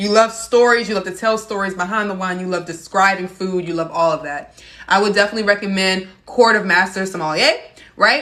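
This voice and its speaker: Noticeable noise runs in the background while the pitch varies in an ordinary way. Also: woman. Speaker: sommelier and wine educator. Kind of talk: live-stream wine tasting chat. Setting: TikTok live stream. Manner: fast; animated.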